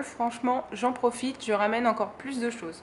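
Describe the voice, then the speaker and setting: A woman at a moderate pace, her intonation fairly even, with noticeable background noise. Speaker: craft YouTuber. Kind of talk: product haul presentation. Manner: hesitant, many fillers.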